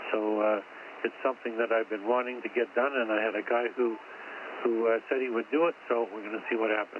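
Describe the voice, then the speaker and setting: Noticeable background noise runs under the recording. A man talks at a fairly quick pace in a medium pitch with fairly even intonation. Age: 80s+. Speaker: amateur radio operator. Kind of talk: amateur radio net chat. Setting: radio station at home.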